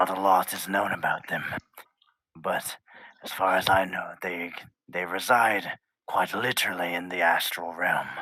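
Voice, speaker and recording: A man whispers in a put-on character voice. His pace is moderate. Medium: actual play. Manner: measured, formal, reserved.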